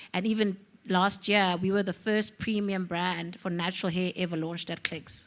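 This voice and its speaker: The woman's voice is medium in pitch. It stays monotone, with flat intonation. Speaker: entrepreneur, hair product brand founder. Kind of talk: panel discussion. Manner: fast.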